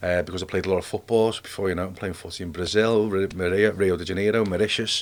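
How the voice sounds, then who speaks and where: A man with a Liverpool accent speaks very fast in a very deep, low pitch, with big swings in loudness. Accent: Liverpool (Scouse). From Liverpool, England. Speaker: army veteran. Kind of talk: casual interview. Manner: animated.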